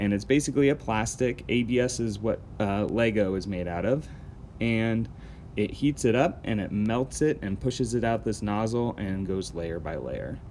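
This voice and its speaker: In a normal speaking voice, the speaker keeps a moderate pace with ordinary pitch variation. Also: man, fairly low pitch for a man. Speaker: camp instructor. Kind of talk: tutorial.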